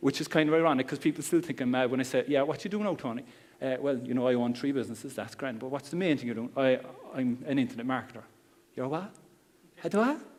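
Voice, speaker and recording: A man with a Cork accent talks at a very fast pace in a medium pitch, with ordinary pitch variation. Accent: Cork Irish. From Ireland, Cork. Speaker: internet marketer. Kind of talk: seminar talk. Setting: stage with audience. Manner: calm.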